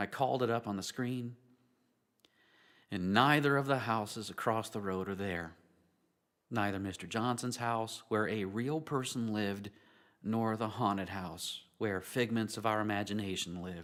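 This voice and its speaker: A man's fairly low voice at a moderate pace, with ordinary pitch variation and long, frequent pauses. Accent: Southern US. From US South, western North Carolina. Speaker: pastor. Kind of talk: sermon.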